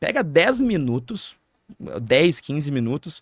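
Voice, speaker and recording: Recorded very cleanly against a silent background, a man with a southern Brazilian accent talks at a fairly high pitch, the sound dry and close with no echo. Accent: southern Brazilian (gaúcho) Portuguese. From Rio Grande do Sul, Brazil (interior). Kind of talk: podcast interview. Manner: fast.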